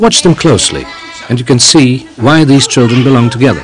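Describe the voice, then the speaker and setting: Crowd noise fills the background. Over it, a man talks at a fairly quick pace. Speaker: documentary narrator. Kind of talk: documentary narration.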